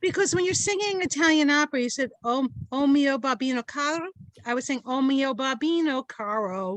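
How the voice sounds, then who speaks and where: In an American accent, a woman talks at a moderate pace with a high pitch and lively intonation, the sound dry and close with no echo. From New York, Brooklyn. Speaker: podcast co-host. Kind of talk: casual chat. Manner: animated.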